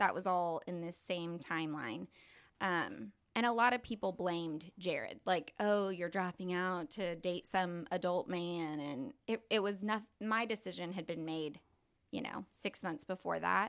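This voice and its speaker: With an American accent, a woman in an ordinary speaking voice uses fairly low pitch and ordinary pitch variation at a fairly slow pace, on a very clean recording with a silent background. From Oklahoma, Tulsa area. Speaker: church member sharing her story. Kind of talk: testimony.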